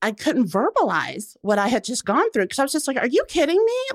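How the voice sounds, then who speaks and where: On a very clean recording with a silent background and a dry, close sound with no echo, a woman speaks with very wide pitch swings. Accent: American. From US South, Macon, Georgia. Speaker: writer and cancer survivor. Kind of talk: interview. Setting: studio.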